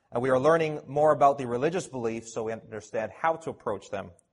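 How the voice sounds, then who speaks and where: A man talks at a very fast pace in a fairly high-pitched, somewhat breathy voice with lively intonation. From Canada, Toronto. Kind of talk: conference talk. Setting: conference audience.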